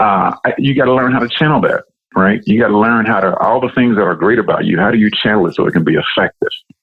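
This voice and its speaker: A man at a very fast pace, loudness very even, pitch varying in an ordinary way. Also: medium pitch for a man. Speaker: business executive. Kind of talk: interview. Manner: intense.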